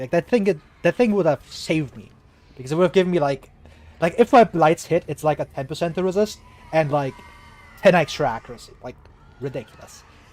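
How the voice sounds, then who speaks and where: A man with a German accent talks at a fairly quick pace and high pitch, with very wide pitch swings and a dry, close sound with no echo. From Germany. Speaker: video game streamer. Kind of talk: live gameplay commentary. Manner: casual, filler-heavy.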